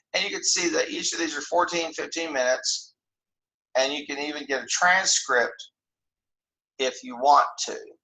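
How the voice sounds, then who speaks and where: A man speaks at a moderate pace, and room echo is audible around his voice. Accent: American. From Oklahoma, US. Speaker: university lecturer. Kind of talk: recorded lecture screencast. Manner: halting, many repetitions.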